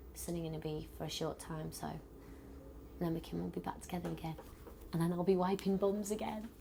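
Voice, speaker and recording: A woman with a British accent, very fast pace broken by long, frequent pauses. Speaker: pop group member. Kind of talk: interview. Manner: loud; blunt.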